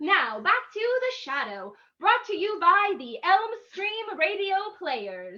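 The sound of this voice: A woman with an extremely high pitch speaks slowly in a bright, sharp tone, making big pitch swings.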